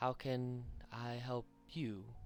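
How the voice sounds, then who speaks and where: Over music in the background, a man performs a put-on character voice at medium pitch, soft-spoken yet booming. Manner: welcoming, warm.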